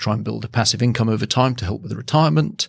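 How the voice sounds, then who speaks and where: In a very clean recording with a silent background, a man with an English accent speaks at a medium pitch. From England. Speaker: property strategist and buyer's agent. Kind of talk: podcast interview.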